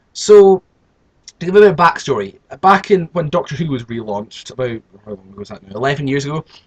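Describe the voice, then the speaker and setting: With a British accent, a man speaks at a very fast pace in a fairly high, somewhat breathy voice. His pitch swings very widely, and the sound is dry and close with no echo. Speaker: youtuber. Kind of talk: casual monologue. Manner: halting, many repetitions.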